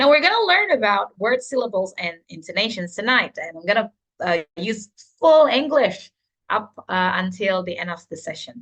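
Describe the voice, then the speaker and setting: At a moderate pace, a woman with a fairly high voice swings very widely in pitch and makes big shifts in loudness. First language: Indonesian or Javanese. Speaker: teacher trainer. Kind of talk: online training session. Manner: hesitant, many fillers.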